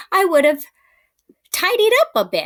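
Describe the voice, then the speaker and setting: A woman puts on a squeaky character voice, pitched extremely high and swinging very widely, delivered at a moderate pace. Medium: read story.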